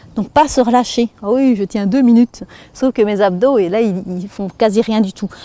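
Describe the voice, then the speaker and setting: With a Belgian accent, a woman speaks at a moderate pace in a dark, mellow tone with ordinary pitch variation, the sound dry and close with no echo. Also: fairly high pitch for a woman. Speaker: fitness instructor. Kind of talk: exercise tutorial. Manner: instructive, guiding breathing.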